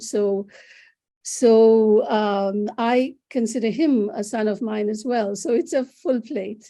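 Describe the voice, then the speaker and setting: A woman's fairly high-pitched voice with a dark, mellow tone and a Bengali accent, over a quiet background. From India. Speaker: psychologist. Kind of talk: interview. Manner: halting.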